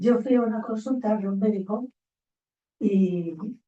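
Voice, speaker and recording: This woman's tone is mellow and dark. She talks at a medium pitch, and her pitch varies in an ordinary way. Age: 80s+. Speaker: psychologist. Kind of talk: panel discussion.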